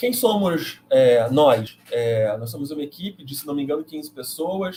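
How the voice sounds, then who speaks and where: Somewhat breathy and dark, mellow in tone, this voice moves at a fairly slow pace with very wide pitch swings and big swings in loudness. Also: man, fairly high pitch for a man. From Brazil, Rio de Janeiro. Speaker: math education professor and live host. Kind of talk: online course live presentation. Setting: livestream.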